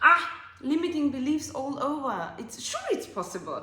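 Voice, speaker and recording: Amid audible room echo and noticeable background noise, a woman speaks with an Austrian accent and lively intonation. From Austria, Alpine village. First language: German. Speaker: life coach and podcast host. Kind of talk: casual monologue podcast. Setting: at home on couch. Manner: animated.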